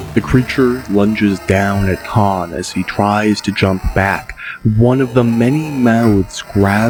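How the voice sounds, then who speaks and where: A man's very slow, fairly low-pitched speech with ordinary pitch variation over background music. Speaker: audiobook narrator. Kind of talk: audiobook narration.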